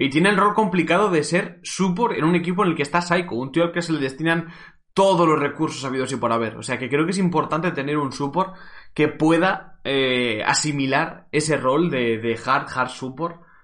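A man with a Castilian accent speaks at a moderate pace, his pitch fairly high. His tone is animated, with ordinary pitch variation. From Spain, Cuenca. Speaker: esports streamer and caster. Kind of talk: live stream commentary, casual. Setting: live stream from home.

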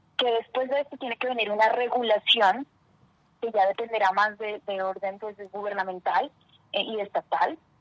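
A woman talks at a moderate pace with fairly even intonation. The sound is dry and close, with no echo. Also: fairly high pitch for a woman. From Colombia, Ipiales, Nariño. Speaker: lawyer and advocacy adviser. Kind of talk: radio interview. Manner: frequent hesitations (eh).

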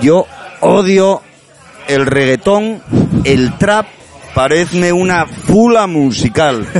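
Over noticeable background noise, a man speaks very slowly in a high pitch, leaving long, frequent pauses. His intonation is lively. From Asturias, Avilés. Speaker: language activist. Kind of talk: interview. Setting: bar.

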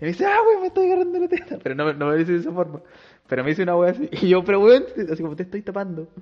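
At a very fast pace, a man speaks at a high pitch with ordinary pitch variation. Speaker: podcast host. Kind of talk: casual chat.

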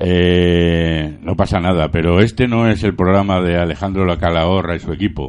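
Over a quiet background, a man with a very deep, low pitch speaks at a moderate pace with fairly even intonation and hardly any pauses. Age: 50s. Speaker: community radio host. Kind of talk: casual radio chat. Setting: radio studio, live broadcast.

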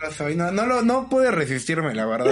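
A man with a Mexican accent, high in pitch with very wide swings, at a moderate pace, music in the background. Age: 20s. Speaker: podcast host. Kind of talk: casual chat.

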